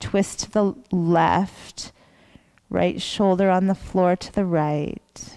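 Against a quiet background, a woman speaks very slowly in a dark, mellow tone with fairly even intonation. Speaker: yoga teacher. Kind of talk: guided yoga instruction. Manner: soft-spoken, slow. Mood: calm, soothing bedtime tone. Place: gym.

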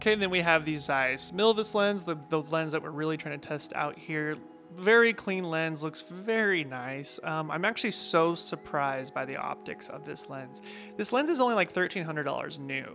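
Faint music plays in the background behind speech with ordinary pitch variation. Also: man, moderate pace. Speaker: filmmaker reviewing lenses. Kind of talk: casual review talk. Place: garden.

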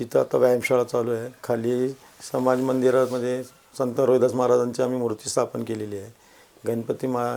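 Monotone, flat intonation from a man at a medium pitch. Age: 50s. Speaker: social worker and local election candidate. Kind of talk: interview. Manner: calm, measured.

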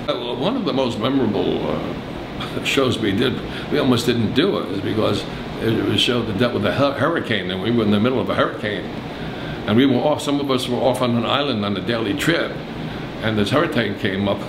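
A man speaks at a fairly quick pace and with ordinary pitch variation while noticeable background noise carries on. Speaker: interviewee. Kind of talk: interview answer. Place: office.

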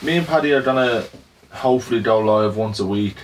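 A man with a Dublin accent speaks at a moderate pace with ordinary pitch variation. Light background noise can be heard. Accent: Irish (Dublin). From Ireland. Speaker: barbershop business owner. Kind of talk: team meeting and vlog narration. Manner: casual, filler-heavy. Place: office.

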